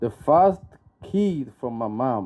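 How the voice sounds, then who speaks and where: Very slowly and with lively intonation, a man in a Rwandan accent speaks in a dark, mellow tone. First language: Kinyarwanda. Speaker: book launch guest speaker. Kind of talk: speech with interpreter. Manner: halting.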